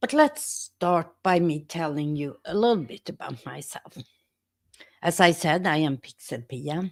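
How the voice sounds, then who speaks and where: Speaking fairly slowly in a Swedish accent, a woman with a fairly low voice uses lively intonation and big shifts in loudness, recorded dry and close with no echo on a very clean, silent track. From Sweden. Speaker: YouTuber and teacher. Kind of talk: casual live stream talk.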